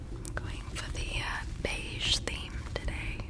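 A woman is soft-spoken. She talks at a very slow pace. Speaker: video creator. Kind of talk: casual soft-spoken ASMR-style chat. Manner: soft, hushed ASMR speech. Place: home room. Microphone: studio mic.

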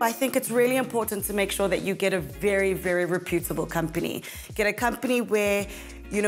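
A woman talks at a very fast pace. Faint music plays behind her. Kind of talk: interview answer. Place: kitchen. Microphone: lapel.

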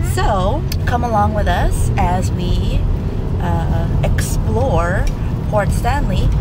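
A woman's voice sounds dry with no echo, set against loud background noise. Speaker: family vlogger. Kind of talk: casual vlog chat. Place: car. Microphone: phone near.

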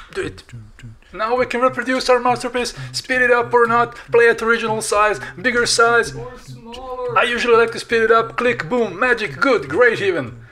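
A man with a non-native accent talks at a fairly quick pace in an extremely high pitch, with ordinary pitch variation. His loudness swings widely, and noticeable background noise runs underneath. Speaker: digital artist and tutorial maker. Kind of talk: software tutorial narration. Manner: playful, humorous.

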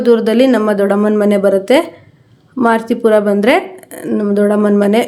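A woman's fairly high voice comes across flat and monotone. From Karnataka, Shivamogga area. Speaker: vlogger, tailor. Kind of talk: casual vlog narration. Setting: outdoors, riding a motorbike.

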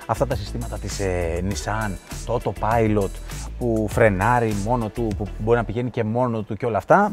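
A man at a moderate pace, dry sound with no echo, faint music in the background. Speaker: car reviewer. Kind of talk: product walkthrough commentary. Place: car. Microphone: lapel.

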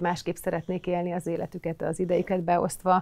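Fairly quick and monotone, a woman talks at a fairly low pitch with flat intonation. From eastern Hungary, Hajdú-Bihar county; Hungary. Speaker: recruitment lead and mother; podcast guest. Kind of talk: casual chat. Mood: calm, reflective. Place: studio. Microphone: lapel.

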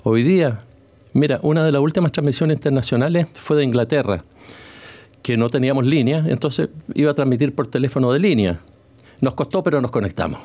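This man's voice has a dark, mellow tone and ordinary pitch variation, broken up by long, frequent pauses. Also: fairly quick pace, very even loudness. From Chile. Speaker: retired sports journalist. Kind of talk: interview. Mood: warm, reminiscent. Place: studio. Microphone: studio mic.

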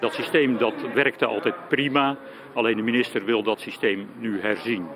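Despite noticeable background noise, the sound of this man's voice is dry, with no echo. He talks at a moderate pace with ordinary pitch variation. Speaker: lawyer. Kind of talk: interview. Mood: calm, critical. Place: street. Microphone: handheld.

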